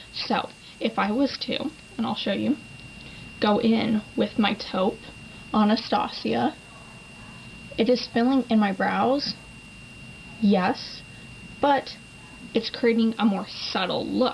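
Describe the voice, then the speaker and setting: Against noticeable background noise, a woman with a fairly high pitch speaks at a very slow pace with long, frequent pauses and fairly even intonation. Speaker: beauty vlogger. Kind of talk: tutorial. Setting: home, at vanity. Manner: casual, chatty.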